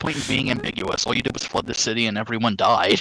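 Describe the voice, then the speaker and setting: A put-on character voice at a very fast pace. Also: man, medium pitch for a man. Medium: solo performance. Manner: pompous, fussy.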